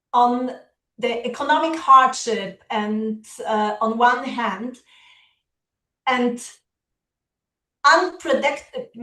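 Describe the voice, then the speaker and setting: A woman with a Polish accent speaks at a high pitch in a bright, sharp tone with ordinary pitch variation. Her pace is very slow, with long, frequent pauses. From Poland. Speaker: education partnerships officer, keynote speaker. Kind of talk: keynote speech. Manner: halting, many fillers.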